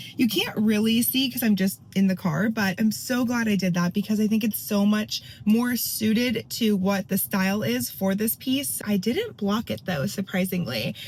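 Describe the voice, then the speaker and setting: With noticeable background noise, a woman of medium pitch speaks at a moderate pace with lively intonation and hardly any pauses. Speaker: crochet and knitting vlogger. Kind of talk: casual vlog talk to camera. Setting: in a car. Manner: chatty, upbeat.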